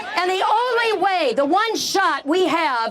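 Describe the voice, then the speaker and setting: Noticeable background noise is present throughout. The speech carries lively intonation. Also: woman. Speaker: political candidate. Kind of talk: campaign rally speech. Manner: animated.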